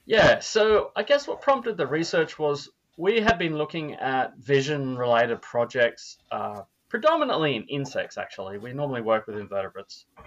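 With an Australian accent, a man talks at a moderate pace, his loudness swinging widely. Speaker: neurobiologist. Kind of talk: casual interview.

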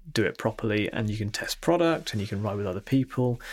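Over a silent background on a very clean recording, a man with a fairly low voice talks at a very fast pace. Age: 50s. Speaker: entrepreneur. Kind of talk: interview.

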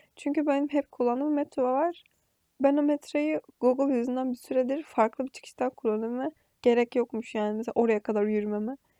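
A woman's high voice with a dark, mellow tone, fairly quick with ordinary pitch variation, dry and close with no echo over a quiet background. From Aegean region of Turkey. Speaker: podcaster. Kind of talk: casual monologue. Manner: chatty, frequent laughter.

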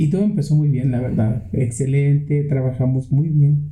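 Somewhat breathy and fairly high in pitch, a man talks at a moderate pace with audible room echo around him. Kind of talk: storytelling. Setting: home studio.

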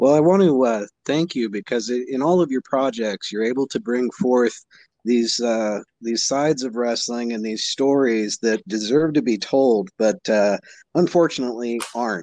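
An unremarkable speaking voice moves at a moderate pace with ordinary pitch variation, recorded dry and close with no echo against a quiet background. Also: man, medium pitch for a man. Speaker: podcast host. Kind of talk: casual interview chat.

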